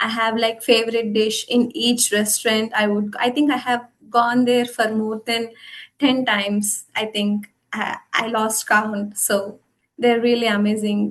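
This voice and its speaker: A woman speaks at a fairly slow pace with fairly high pitch. Her intonation is monotone and flat. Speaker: international student. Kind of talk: webinar interview. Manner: halting.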